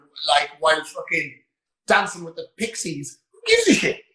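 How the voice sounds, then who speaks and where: A man projects his voice loudly with an Irish accent and fairly even intonation. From west of Ireland, Roscommon. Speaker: gym owner and online coach. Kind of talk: casual interview chat.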